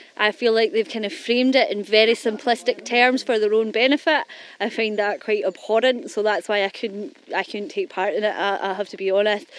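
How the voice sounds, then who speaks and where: A woman speaks at a fairly quick pace, an unremarkable speaking voice. Her pitch is fairly high, with ordinary pitch variation. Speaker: interviewee on doorstep. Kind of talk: casual chat.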